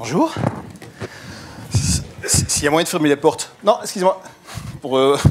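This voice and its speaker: Against noticeable background noise, a man with a fairly high pitch speaks with long, frequent pauses. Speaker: digital marketing consultant and lecturer. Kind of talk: conference talk. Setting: stage with audience. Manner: fast; energetic.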